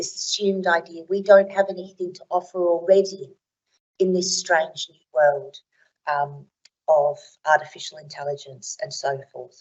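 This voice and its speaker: Speaking at a moderate pace, a woman keeps a medium pitch with ordinary variation while her loudness swings widely. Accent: Australian. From Australia. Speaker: academic keynote speaker. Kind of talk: conference keynote talk.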